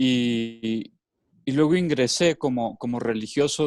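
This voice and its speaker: A man's medium-pitched voice, a plain, everyday voice, with ordinary pitch variation. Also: dry, close sound with no echo. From Mexico, Los Altos de Jalisco. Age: 30s. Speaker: educator and former religious brother. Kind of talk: casual interview. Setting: video call.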